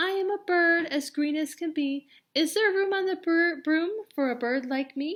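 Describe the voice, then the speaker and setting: A put-on character voice, female-sounding and extremely high pitched, moves at a moderate pace. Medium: read story.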